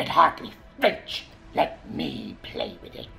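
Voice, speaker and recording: A man talks in a put-on character voice at a fairly slow pace. Clear music plays in the background. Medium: voice reel. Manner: taunting.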